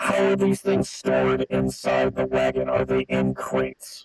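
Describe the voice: A man's put-on, robotic character voice at a very deep, low pitch and moderate pace, with faint music in the background.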